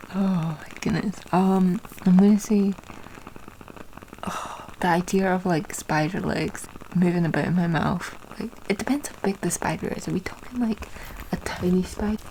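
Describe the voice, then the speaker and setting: A soft-spoken woman of medium pitch, fairly even intonation and moderate pace, with long, frequent pauses and noticeable background noise. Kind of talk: soft-spoken ASMR ramble.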